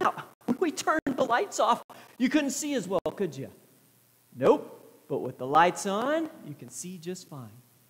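The delivery moves at a fairly slow pace. Long, frequent pauses break it up. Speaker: pastor. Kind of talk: children's sermon. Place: church.

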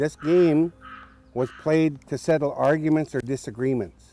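Music plays in the background. Over it, a man talks at a moderate pace. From Cowichan, Vancouver Island, British Columbia, Canada. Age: 60s. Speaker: First Nations knowledge keeper and cultural educator. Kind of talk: documentary interview answer. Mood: calm, reflective.

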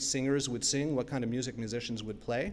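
A man is talking. His accent is American. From New York (Brooklyn). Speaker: academic keynote speaker on copyright. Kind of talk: keynote lecture. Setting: stage with audience. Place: hall. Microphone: podium.

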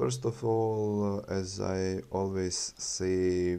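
This man has a Bosnian accent and a dark, mellow tone. His intonation stays fairly even. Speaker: YouTube crypto channel host. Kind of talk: tutorial. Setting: screen recording voiceover. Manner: halting, with filler words and repetitions.

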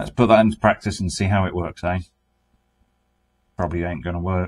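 Speaking with a British accent, a man has a very deep, low pitch and a weary tone at a fairly quick pace. His intonation is fairly even, and the background is quiet. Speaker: car restoration YouTuber. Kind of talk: casual vlog narration. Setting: in a shipping container workshop. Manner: weary, low energy. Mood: wry, resigned humour. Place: garage. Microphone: phone near.

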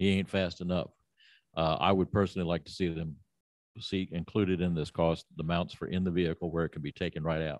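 Low-pitched and fairly quick, a man talks with fairly even intonation in a dry, close sound with no echo.

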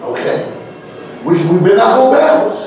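A man's voice with strong room echo and light background noise. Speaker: preacher. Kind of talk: sermon. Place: church.

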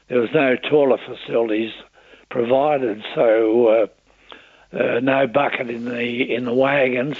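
A man with an Australian accent speaks fairly slowly at a medium pitch, his intonation flat and monotone. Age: 80s+. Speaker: war veteran. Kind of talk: interview answer. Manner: hesitant, halting.

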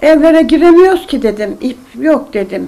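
Speaking at a fairly slow pace, a woman with a high pitch and a dark, mellow tone lets her pitch swing very widely. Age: 80s+. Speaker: elderly knitter. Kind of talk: interview. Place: home room.

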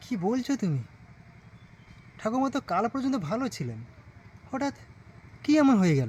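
A put-on character voice moves at a moderate pace, with big pitch swings, a slightly mellow tone and a slightly husky edge. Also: man, extremely high pitch for a man.

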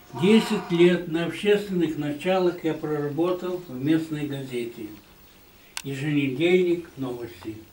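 This man's voice sits fairly high in pitch, moving at a fairly slow pace with ordinary pitch variation, while audible room echo and light background noise come through. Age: 80s. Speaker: retired newspaper photographer. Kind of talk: recorded video greeting. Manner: formal. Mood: warm, calm, sentimental.

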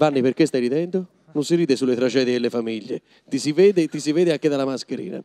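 A man speaks at a very fast pace in a fairly high pitch. His tone is dark and mellow, with ordinary pitch variation. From Tuscany. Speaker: comedian and actor; comedian, actor. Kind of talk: live stage interview. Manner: animated. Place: hall. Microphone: handheld.

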